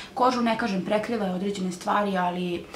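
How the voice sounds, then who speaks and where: Very fast speech from a woman amid noticeable background noise. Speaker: beauty vlogger. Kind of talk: product review vlog chat. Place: home room. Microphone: camera far.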